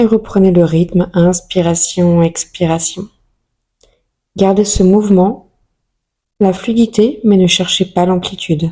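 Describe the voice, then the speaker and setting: A soft-spoken woman's calm voice, dark and mellow in tone, at a medium pitch and a very slow pace, with very even loudness, fairly even intonation and long, frequent pauses. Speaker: yoga teacher. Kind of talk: guided yoga session instruction. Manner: soft, calm.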